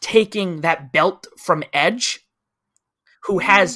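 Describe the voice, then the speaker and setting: Raising and projecting his high voice, a man speaks at a very slow pace with a bright, sharp tone. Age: 30s. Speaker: wrestling podcast host. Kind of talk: casual chat.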